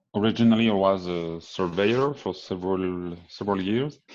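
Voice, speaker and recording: At a fairly slow pace, a man with a French accent and a very deep, low pitch speaks with fairly even intonation over a quiet background. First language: French (speaking Vietnamese). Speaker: engineering consultant and BIM lead. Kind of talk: presentation.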